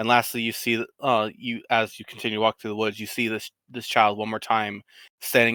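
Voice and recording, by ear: Natural-voiced reading aloud, the background quiet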